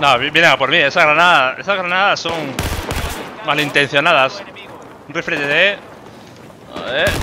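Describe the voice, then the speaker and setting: A man talks at a moderate pace in a high pitch with ordinary pitch variation and long, frequent pauses. Noticeable background noise runs underneath. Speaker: gaming YouTuber. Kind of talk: live gameplay commentary. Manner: animated.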